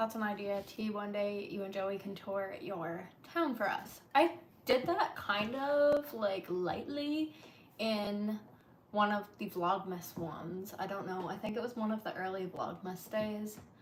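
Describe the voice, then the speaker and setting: A woman talks at a fairly slow pace with lively intonation over noticeable background noise. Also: medium pitch for a woman. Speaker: lifestyle streamer. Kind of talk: casual live-stream chat. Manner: soft-spoken.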